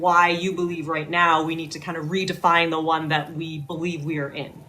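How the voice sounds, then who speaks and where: A woman with a fairly low voice talks fairly quickly while noticeable background noise is present. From Northern Ontario, Canada. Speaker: podcast host. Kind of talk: interview introduction. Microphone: too quiet.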